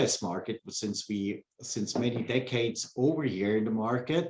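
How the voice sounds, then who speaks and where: A man talks at a moderate pace with ordinary pitch variation. Noticeable background noise can be heard. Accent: Swiss. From Switzerland. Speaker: pump company sales engineer. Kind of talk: interview.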